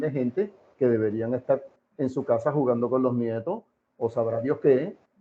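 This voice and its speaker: With a Puerto Rican accent, a man speaks at a moderate pace. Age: 60s. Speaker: political commentator. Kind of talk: interview. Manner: animated.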